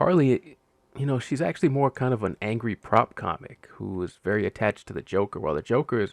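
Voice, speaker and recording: A man with an unremarkable speaking voice talks at a fairly quick pace, fairly low in pitch with lively intonation, in a dry, close sound with no echo. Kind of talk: casual show review to camera. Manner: relaxed, conversational.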